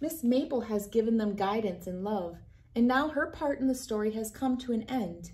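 With lively intonation, a woman speaks at a moderate pace in a fairly high pitch and a slightly mellow tone.

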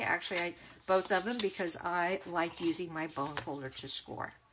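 A woman with a warm tone speaks at a moderate pace against noticeable background noise. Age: 60s. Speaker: craft video creator. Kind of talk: tutorial. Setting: livestream. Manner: warm and chatty. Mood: friendly, relaxed.

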